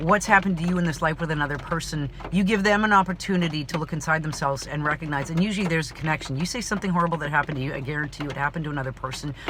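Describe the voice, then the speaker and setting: A woman talks at a very fast pace with hardly any pauses, her pitch very deep and low with ordinary variation. Her tone is animated, and background noise is noticeable. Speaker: actor and vlogger. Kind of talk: personal vlog monologue. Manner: loud.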